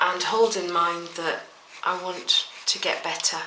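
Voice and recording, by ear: The tone is bright and sharp, the pace slow, and there is audible room echo. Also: woman.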